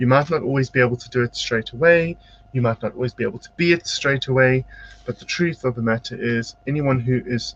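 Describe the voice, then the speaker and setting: This man has a medium-pitched voice with a South African accent. He talks at a fairly quick pace. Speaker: psychic medium and spiritual teacher. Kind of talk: live-stream tarot-style card reading and motivational talk. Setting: home studio, live video broadcast. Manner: varies between quiet and loud.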